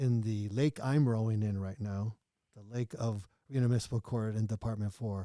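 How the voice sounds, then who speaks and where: On a very clean recording with a silent background and a dry, close sound with no echo, a man with a dark, mellow tone and fairly low pitch talks at a moderate pace with fairly even intonation. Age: 60s. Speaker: lawyer and judicial candidate. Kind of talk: interview. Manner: halting, with frequent restarts.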